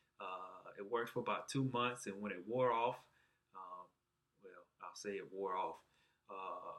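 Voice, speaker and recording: Talking slowly with a Southern US accent, a man leaves long, frequent pauses, and his loudness swings widely. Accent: southern twang. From Alabama, US South. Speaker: patient sharing surgery experience. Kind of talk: personal vlog testimony. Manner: halting, many fillers.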